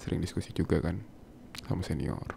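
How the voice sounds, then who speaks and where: A man speaks at a fairly quick pace. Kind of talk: ASMR boyfriend roleplay. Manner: soft-spoken, affectionate.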